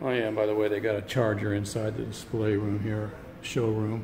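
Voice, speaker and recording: Fairly slow speech with audible room echo and music in the background. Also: man. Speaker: vlogger, electric vehicle enthusiast. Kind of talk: vlog. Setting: car dealership showroom. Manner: soft-spoken; casual, with filler words.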